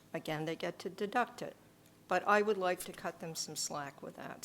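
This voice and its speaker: A woman with a non-native accent talks at a moderate pace. Her pitch is medium, with ordinary pitch variation. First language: not English. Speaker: selectboard member. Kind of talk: public meeting discussion.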